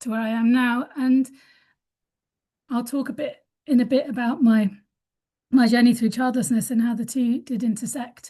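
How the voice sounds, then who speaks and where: Pitched high, a woman's voice carries a dark, mellow tone with ordinary pitch variation at a moderate pace. The background is quiet. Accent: British. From UK. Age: 50s. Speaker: webinar panellist. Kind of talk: conversational webinar testimony. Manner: halting, many fillers and restarts.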